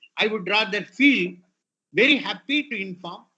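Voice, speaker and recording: With an Indian accent, a man talks at a moderate pace and a high pitch, his intonation lively. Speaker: retired IP official, guest speaker. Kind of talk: lecture.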